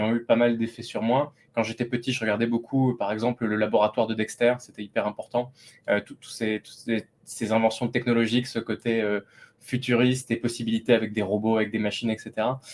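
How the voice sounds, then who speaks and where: Speaking at a fairly quick pace, a man with a medium pitch keeps a monotone, flat intonation while his loudness swings widely. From France, Lot (southwest). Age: 30s. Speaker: AI company founder. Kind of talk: interview. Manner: hesitant, many fillers.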